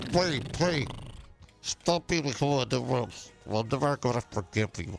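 A man's put-on character voice at medium pitch and a fairly slow pace. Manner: silly.

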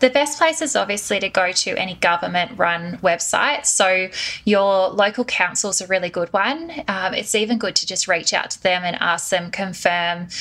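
Over noticeable background noise, a woman with an Australian accent and a medium pitch talks at a moderate pace with lively intonation and hardly any pauses. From Australia, Sydney. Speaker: marketing consultant. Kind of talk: interview.

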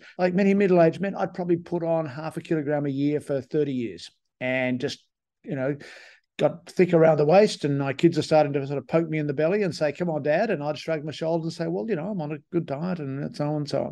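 Ordinary pitch variation runs through a man's fairly high voice as he speaks very fast. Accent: Australian. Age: 70s. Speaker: sports medicine physician and professor. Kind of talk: interview. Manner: hesitant, filler-heavy.

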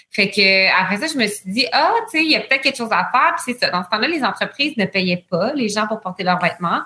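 A woman speaks with a fairly high pitch and lively intonation. Hers is an unremarkable speaking voice. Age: 30s. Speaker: entrepreneur. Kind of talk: interview.

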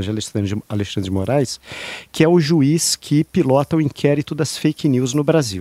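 A man at medium pitch with a Brazilian accent, a dark, mellow tone and lively intonation, fairly quick, in a dry, close sound with no echo. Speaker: political commentator. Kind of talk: casual chat.

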